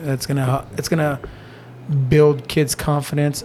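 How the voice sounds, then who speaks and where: A man speaks over noticeable background noise. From eastern Oregon (Nyssa), born in Mexico. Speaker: jiu jitsu gym owner and Spanish teacher. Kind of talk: podcast interview.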